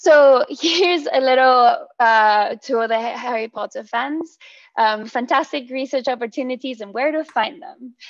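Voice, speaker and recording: Against a quiet background, someone with a Spanish accent speaks at a fairly slow pace, the loudness swinging widely. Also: woman, high pitch for a woman, ordinary pitch variation. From Mexico. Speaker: PhD researcher. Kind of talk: seminar talk. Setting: video call. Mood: friendly, enthusiastic. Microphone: video call.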